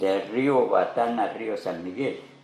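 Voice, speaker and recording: Music plays in the background of this recording, which has audible room echo. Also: man. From Colombia, Pacho, Cundinamarca. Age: 80s+. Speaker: farmer. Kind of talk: interview storytelling.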